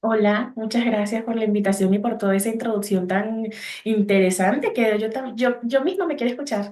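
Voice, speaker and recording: In a Venezuelan accent, a dark, mellow voice moves at a moderate pace amid audible room echo. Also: woman, fairly high pitch for a woman, ordinary pitch variation. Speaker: psychologist. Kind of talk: podcast interview. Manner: halting.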